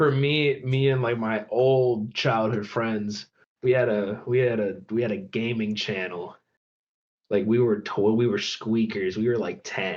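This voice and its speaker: In an American accent, an ordinary speaking voice moves at a fairly slow pace with ordinary pitch variation. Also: man, medium pitch for a man. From Michigan, suburbs of Detroit. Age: 20s. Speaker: rapper. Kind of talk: casual chat.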